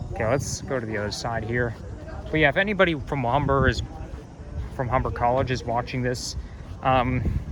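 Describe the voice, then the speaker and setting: A man speaks at a fairly quick pace and a medium pitch, with ordinary pitch variation. Long, frequent pauses break up his speech, and room echo is audible. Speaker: college student vlogger. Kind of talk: casual walking vlog. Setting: outdoors walking on campus at dusk. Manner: halting, self-correcting.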